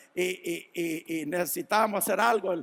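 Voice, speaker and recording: This man delivers his words at a fairly slow pace. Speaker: pastor. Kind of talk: sermon. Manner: halting, many repetitions.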